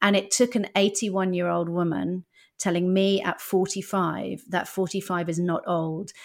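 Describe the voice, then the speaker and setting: In a very clean recording with a silent background, a woman speaks very slowly with a British accent. Her medium-pitched voice has monotone, flat intonation. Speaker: stand-up comedian and former TV executive. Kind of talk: casual interview.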